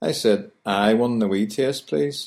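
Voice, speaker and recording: Talking at a fairly quick pace with a Belfast accent, a man keeps a fairly low pitch with ordinary pitch variation. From Northern Ireland, Belfast. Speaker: language tutor. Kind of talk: scripted narration.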